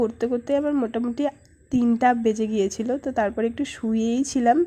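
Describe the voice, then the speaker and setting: A woman's high-pitched voice, dark and mellow in tone, with fairly even intonation. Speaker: vlogger. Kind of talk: casual vlog narration.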